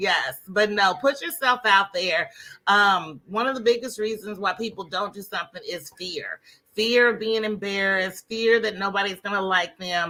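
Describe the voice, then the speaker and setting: Loud and bright with a sharp tone, a woman speaks at a moderate pace with ordinary pitch variation. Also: medium pitch for a woman. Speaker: Facebook ads coach. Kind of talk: interview.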